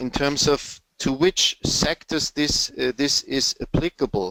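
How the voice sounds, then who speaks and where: A man's fairly high voice with a German accent, at a very slow pace. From Germany. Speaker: sales and marketing consultant. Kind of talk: webinar presentation with Q&A. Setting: online webinar. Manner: halting, many fillers and repetitions.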